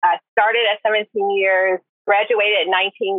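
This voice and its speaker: Very slow delivery in a monotone, flat intonation. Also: woman. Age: 40s. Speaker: retired army nurse. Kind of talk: casual chat.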